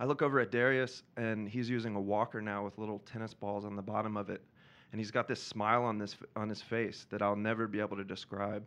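Against a quiet background, a man with an American accent talks at a very fast pace. His voice is fairly low in pitch, with monotone, flat intonation. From US South, Georgia. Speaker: storyteller, documentary filmmaker. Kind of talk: live storytelling. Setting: stage with audience.

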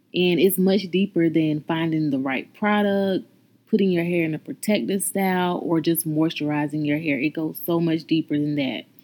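With an American accent, an unremarkable speaking voice moves at a moderate pace with ordinary pitch variation on a very clean recording with a silent background. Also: woman, fairly low pitch for a woman. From North Carolina. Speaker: podcast host and natural hairstylist. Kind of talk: podcast intro monologue.

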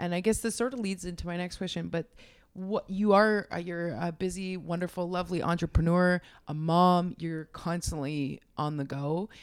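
Very clean, with a silent background, the recording features a woman with a normal speaking voice. She talks at a moderate pace and a fairly low pitch with ordinary pitch variation. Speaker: podcast host. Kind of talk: casual interview chat.

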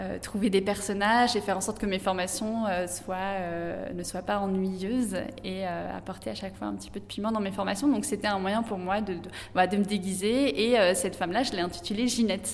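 A medium-pitched woman's voice with vocal fry and fairly even intonation moves at a moderate pace amid audible room echo. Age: 30s. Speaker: entrepreneur, café owner. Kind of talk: interview. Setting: in her café.

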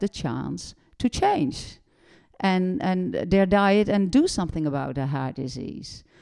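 A woman's dark, mellow voice with a Dutch accent, medium in pitch, fairly slow, with very wide pitch swings, in a very clean recording with a silent background. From Netherlands. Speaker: doctor and nutrition educator. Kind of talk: casual interview chat.

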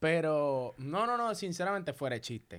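On a very clean recording with a silent background, a man with a fairly high voice speaks at a moderate pace with lively intonation. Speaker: podcast co-host. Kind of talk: casual chat. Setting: studio.

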